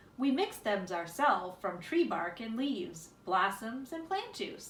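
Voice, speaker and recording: A woman uses a gruff, put-on character voice at a fairly high pitch. Her pitch swings very widely at a moderate pace. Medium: read story.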